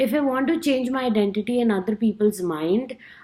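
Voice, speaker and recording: A woman speaks with an Indian accent at a fairly high pitch. Her pace is fairly quick and her intonation lively. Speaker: student. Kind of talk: class speech. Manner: halting, with self-corrections.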